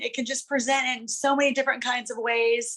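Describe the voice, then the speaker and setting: At a moderate pace, a woman speaks with a high pitch and fairly even intonation. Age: 40s. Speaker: interviewee with multiple sclerosis. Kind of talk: interview. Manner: halting.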